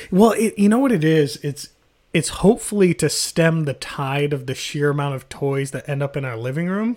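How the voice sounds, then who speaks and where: Very clean and silent in the background, the recording has a man with an ordinary speaking voice and a fairly high pitch. He keeps a moderate pace with lively intonation. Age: 30s. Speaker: podcast host. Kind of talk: casual chat.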